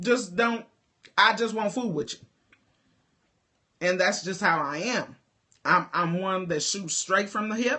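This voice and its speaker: A woman speaks fairly slowly at a medium pitch, with ordinary pitch variation. Long pauses come often. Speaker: life coach. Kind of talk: livestream talk to viewers. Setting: live video stream. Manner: loud; animated.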